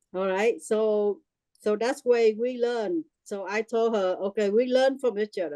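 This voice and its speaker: In a Vietnamese accent, a woman with a dark, mellow tone speaks at a fairly slow pace with ordinary pitch variation, the sound dry and close with no echo. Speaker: workshop participant. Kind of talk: testimony. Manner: halting.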